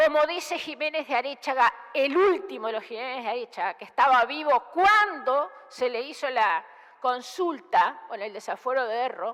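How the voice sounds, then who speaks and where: At a moderate pace, a woman with a high pitch speaks with very wide pitch swings, big swings in loudness and hardly any pauses. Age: 60s. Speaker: senator. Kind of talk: parliamentary speech. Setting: senate chamber. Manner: formal.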